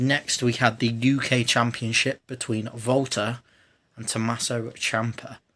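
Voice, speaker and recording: A man speaks quietly at a medium pitch and fairly slow pace, his bright, sharp voice in monotone, flat intonation on a very clean recording with a silent background. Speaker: wrestling reaction youtuber. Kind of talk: casual video review. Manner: speaking quietly; hesitant, self-correcting.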